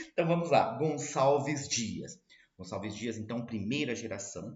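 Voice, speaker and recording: This voice is somewhat breathy, moving at a moderate pace with ordinary pitch variation. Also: man. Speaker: literature teacher. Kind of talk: lecture.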